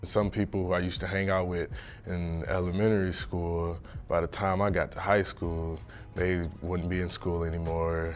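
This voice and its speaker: Over music in the background, a man with a very deep, low pitch and an American accent speaks at a moderate pace in a flat monotone. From US Midwest, Detroit, Michigan. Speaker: college football player. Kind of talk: interview.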